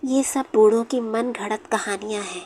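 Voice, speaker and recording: A woman with a fairly high voice talks while noticeable background noise carries on. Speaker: horror story narrator. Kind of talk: horror story narration.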